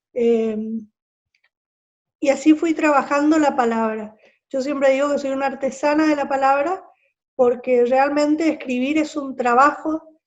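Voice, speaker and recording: Pausing long and often, a woman speaks at a high pitch with fairly even intonation. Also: fairly slow pace. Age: 60s. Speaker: writer. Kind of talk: interview.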